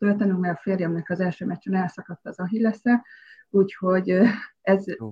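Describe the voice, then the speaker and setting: Fairly level intonation from a woman whose voice is somewhat breathy. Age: 50s. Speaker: stylist and former basketball player. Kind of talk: casual interview.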